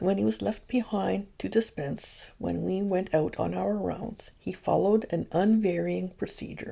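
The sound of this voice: Someone reads in an unforced reading voice.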